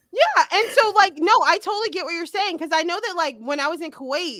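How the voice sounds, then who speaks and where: A woman with an American accent projects her voice, bright and sharp in tone, at a fairly quick pace with very wide pitch swings. The sound is dry and close, with no echo. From USA. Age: 40s. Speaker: podcast host, teacher. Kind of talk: casual chat.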